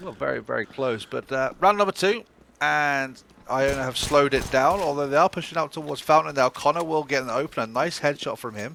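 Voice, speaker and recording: A man with a British accent talks at a fairly quick pace. His tone is bright and sharp. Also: fairly high pitch for a man, ordinary pitch variation. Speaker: esports commentator. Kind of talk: live commentary. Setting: online stream. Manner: fast.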